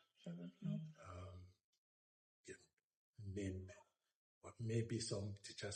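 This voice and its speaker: A man's fairly low, dark, mellow voice, somewhat breathy. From Benin City, Edo State, Nigeria. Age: 70s. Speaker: retired diplomat. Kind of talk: oral history interview answer.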